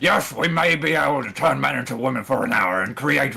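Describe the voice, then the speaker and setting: A raspy put-on character voice from a man, medium in pitch and fairly quick in pace. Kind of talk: parody impression. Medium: game stream. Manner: sneering, condescending.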